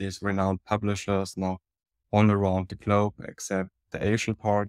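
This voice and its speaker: A man with a German accent speaks in a monotone, flat intonation at a fairly low pitch. The sound is dry and close with no echo, on a very clean recording with a silent background. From Germany, Munich. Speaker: media company executive. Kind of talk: interview.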